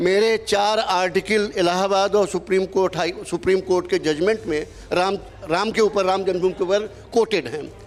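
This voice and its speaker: Speaking with fairly even intonation, a man with a high-pitched voice comes through over noticeable background noise. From Awadh region, Allahabad, Uttar Pradesh, India. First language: Awadhi (speaking Hindi). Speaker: author and TV debate panelist. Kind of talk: heated debate.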